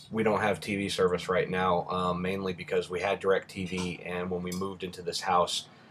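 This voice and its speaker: Very deep and low, a man's voice runs at a moderate pace with hardly any pauses. His intonation is flat and monotone. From Rhode Island. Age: 30s. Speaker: vlogger. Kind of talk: casual vlog answering questions.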